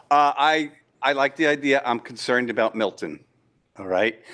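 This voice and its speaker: Speaking fairly quickly, a man uses lively intonation. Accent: New York. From New York. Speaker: local resident. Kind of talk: public comment. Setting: public meeting. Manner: loud.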